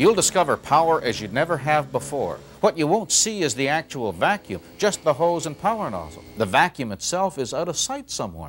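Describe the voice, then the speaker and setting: Talking at a fairly quick pace with hardly any pauses, a man with a fairly high pitch, very wide pitch swings and vocal fry is heard in a very clean recording with a silent background. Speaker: infomercial announcer. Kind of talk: TV infomercial voiceover.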